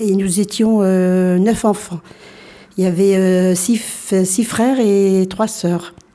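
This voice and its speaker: Against noticeable background noise, a woman speaks very slowly at a medium pitch in a flat monotone, her loudness very even. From France, arrived from Algeria aged four. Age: 60s. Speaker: interviewee. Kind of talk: radio interview. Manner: halting, many hesitations.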